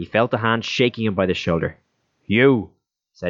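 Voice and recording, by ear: A quiet background behind someone reading aloud in a natural voice, pitch varying in an ordinary way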